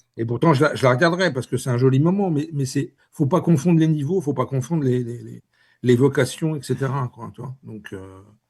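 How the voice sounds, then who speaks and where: Somewhat breathy and fairly quick, a man speaks at a medium pitch with ordinary pitch variation and big swings in loudness against a quiet background. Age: 60s. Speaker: author. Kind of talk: interview. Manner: halting, many repetitions.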